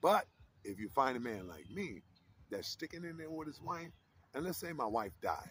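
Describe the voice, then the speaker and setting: This man's fairly high voice has vocal fry, an animated tone and very wide pitch swings. He keeps a moderate pace broken by long, frequent pauses. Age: 60s. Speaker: vlogger. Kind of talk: casual chat. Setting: outdoors.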